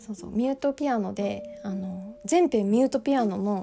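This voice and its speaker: A woman with a fairly high voice and ordinary pitch variation talks while noticeable background noise carries on around her. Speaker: podcaster. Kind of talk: casual solo monologue. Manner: fast; laughing often.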